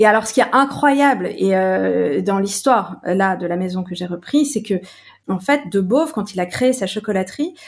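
A woman talks in a normal speaking voice at a moderate pace with ordinary pitch variation. The recording is very clean and the background silent. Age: 40s. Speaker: chocolate company CEO. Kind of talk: casual interview.

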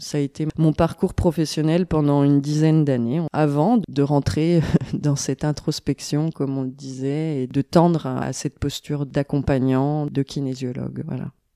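A woman's voice sits at a very deep, low pitch with a dark, mellow tone and fairly even intonation. She speaks at a fairly slow pace with hardly any pauses, in a dry, close sound with no echo. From eastern France (Besançon, Franche-Comté). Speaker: kinesiologist. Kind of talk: interview.

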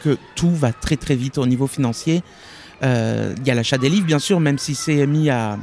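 Music plays behind a man whose pitch is fairly high with ordinary variation. The sound is dry and close, with no echo. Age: young. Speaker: bookseller. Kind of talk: interview conversation. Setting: outdoors in a park. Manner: hesitant, many fillers.

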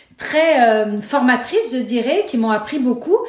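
Her voice is high-pitched, and this woman speaks very slowly with lively intonation, amid noticeable background noise and audible room echo. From Lebanon (Beirut). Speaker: nonprofit founder and board director. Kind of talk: interview.

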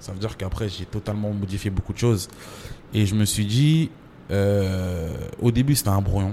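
An ordinary speaking voice from a man, fairly low in pitch, moves at a moderate pace with ordinary pitch variation. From France, Champigny (Paris suburbs), Comorian roots. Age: 30s. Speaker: writer and screenwriter. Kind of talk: interview. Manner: casual, full of fillers.

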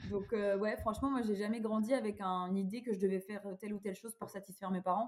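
Flat, monotone speech from a woman at medium pitch, very fast, over noticeable background noise. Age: 30s. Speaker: childfree activist and author. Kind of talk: casual chat.

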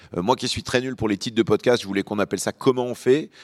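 Recorded very cleanly against a silent background, a man speaks in a normal speaking voice at medium pitch with ordinary pitch variation, the sound dry and close with no echo. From Lyon, France (born in Beirut). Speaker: journalist and podcast host. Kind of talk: panel discussion. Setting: stage with audience.

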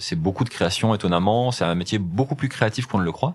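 A man with lively intonation. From France, Loire (Saint-Chamond area). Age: 40s. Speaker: e-commerce entrepreneur. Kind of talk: interview. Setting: company offices. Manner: halting, with repeated words and hesitations.

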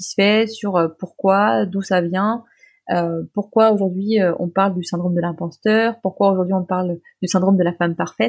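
A woman's medium-pitched voice, fairly even in intonation, at a moderate pace, in a dry, close sound with no echo. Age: 30s. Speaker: nonprofit director. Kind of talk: interview. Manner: hesitant, many fillers.

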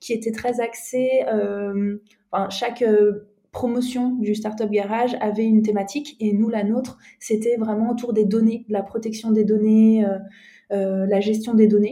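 A woman speaks at a fairly high pitch and a fairly slow pace. Her delivery is monotone, with flat intonation. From France, Alsace (Strasbourg). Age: 30s. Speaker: entrepreneur, co-founder of a nutrition coaching company. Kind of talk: podcast interview. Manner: hesitant, many fillers.

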